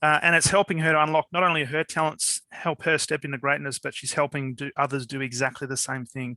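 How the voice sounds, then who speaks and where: In a dry, close, very clean recording with no echo and a silent background, a man with an Australian accent and a bright, sharp tone speaks at a fairly quick pace with fairly even intonation. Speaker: podcast host. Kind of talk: interview podcast.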